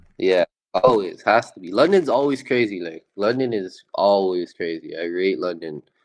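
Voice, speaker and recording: A man with a Toronto accent, fairly low pitch, ordinary pitch variation, big swings in loudness and a moderate pace. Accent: Canadian (Toronto). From Toronto, Canada. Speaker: rapper. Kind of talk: casual chat.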